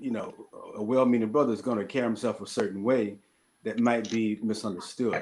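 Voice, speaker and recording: In a Mississippi accent, a man speaks at a medium pitch. His intonation is fairly even. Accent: Southern US (Mississippi). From US South, southern Mississippi. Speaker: panelist. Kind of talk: panel discussion.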